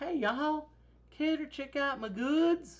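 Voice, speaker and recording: In a put-on character voice with a Southern US accent, a female-sounding voice at a high pitch for a woman speaks at a fairly slow pace. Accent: Southern American. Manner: friendly, inviting.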